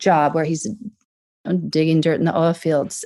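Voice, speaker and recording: A woman with an American accent, her fairly low pitch and dark, mellow tone on a very clean recording with a silent background. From US South. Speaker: tech company CEO. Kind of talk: podcast interview.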